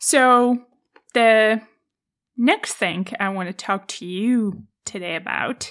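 A woman with a Czech accent at medium pitch, very slow pace, ordinary pitch variation and long, frequent pauses, in a very clean recording with a silent background. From Czech Republic, countryside. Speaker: podcast host, former tennis player. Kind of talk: solo podcast monologue.

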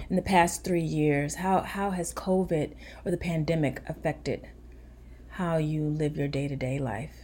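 A woman speaks with a very deep, low pitch and ordinary pitch variation. Her tone is dark and mellow, and somewhat breathy. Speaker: pediatrician. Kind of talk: informative interview.

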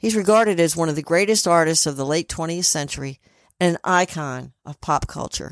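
In a very clean recording with a silent background and a dry, close sound with no echo, a woman with a fairly low pitch speaks at a moderate pace with ordinary pitch variation. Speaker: spirit medium podcast host. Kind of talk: podcast intro and medium reading.

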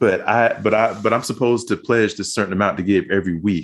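This man talks at a fairly quick pace in a normal speaking voice, pitched fairly low. The background is quiet. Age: 40s. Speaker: former church member. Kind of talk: interview.

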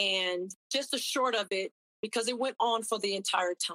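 Energetic and bright with a sharp tone, a woman speaks at fairly high pitch and a moderate pace, the sound dry and close with no echo. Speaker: army chaplain. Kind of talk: testimony.

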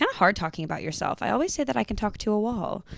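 An American-accented woman speaks in an animated tone. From Texas, Georgetown near Austin. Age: 20s. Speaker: podcast host. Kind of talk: casual monologue.

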